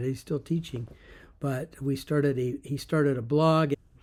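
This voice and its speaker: With a dark, mellow tone and a fairly high pitch, a man talks at a moderate pace with fairly even intonation. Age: 70s. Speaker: affiliate marketer, former juvenile hall teacher. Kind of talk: casual talk to camera. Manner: hesitant, conversational.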